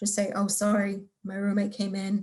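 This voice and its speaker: Here a woman speaks at a moderate pace. Her voice is medium in pitch and somewhat breathy. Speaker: career services advisor. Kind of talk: webinar lecture. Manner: quiet.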